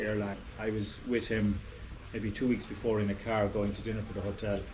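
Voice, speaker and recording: A man with an Irish accent at a fairly low pitch and a fairly quick pace, monotone and flat, with audible room echo and noticeable background noise. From Ireland, rural farming area. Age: 60s. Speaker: retired aviation professional. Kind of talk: casual chat.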